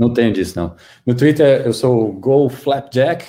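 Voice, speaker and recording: Speaking in a Goiânia accent, a man uses a medium-pitched, dark and mellow voice that is somewhat breathy, with lively intonation. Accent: Goiânia accent, proudly kept. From Brazil, Goiânia (Goiás). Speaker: tech team leader. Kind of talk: casual interview chat.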